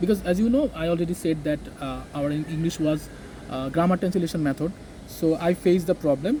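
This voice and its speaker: The man's pitch is high, with ordinary variation. He talks at a fairly quick pace. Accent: Bengali. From Bangladesh. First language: Bengali. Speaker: English teacher. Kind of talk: interview. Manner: halting.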